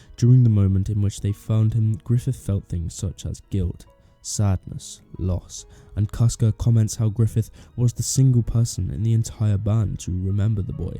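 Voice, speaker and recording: A man's fairly low voice, fairly even intonation at a moderate pace, dry and close with no echo, music in the background. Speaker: video essayist. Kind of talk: analytical video essay narration.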